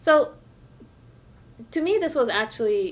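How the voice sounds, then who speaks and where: Lively in intonation, a woman with an American accent talks at a moderate pace. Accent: American-sounding English. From France. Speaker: novelist. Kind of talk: interview.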